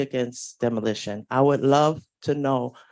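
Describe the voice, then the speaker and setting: Against a quiet background, a woman with a New York accent speaks at a moderate pace in a very deep, low voice. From New York City. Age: 50s. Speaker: public housing tenant. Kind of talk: public comment. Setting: community board meeting.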